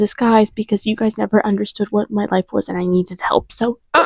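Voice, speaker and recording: A soft-spoken woman with a medium pitch sounds somewhat breathy in a dry, close recording with no echo. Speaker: lifestyle vlogger. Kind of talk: casual vlog monologue. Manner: hesitant with fillers.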